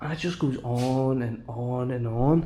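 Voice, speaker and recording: A man's voice at a medium pitch. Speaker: urban explorer vlogger. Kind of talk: walkthrough vlog commentary. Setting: indoors in abandoned hospital. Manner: animated.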